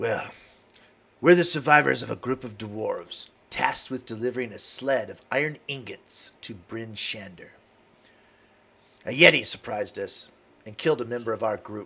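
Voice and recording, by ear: At medium pitch, a man puts on a raspy character voice. He keeps a moderate pace with long, frequent pauses.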